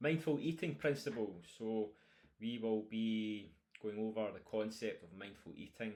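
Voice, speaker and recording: A man with a strong Scottish accent, fairly low pitch, ordinary pitch variation and a moderate pace. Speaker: nutrition coach. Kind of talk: online course lecture. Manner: casual with fillers.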